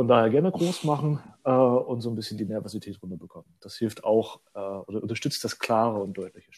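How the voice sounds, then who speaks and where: A man at a very fast pace, with ordinary pitch variation and big swings in loudness. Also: medium pitch for a man. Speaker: agile coach. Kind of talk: casual chat. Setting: sitting on couch at home. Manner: mumbling.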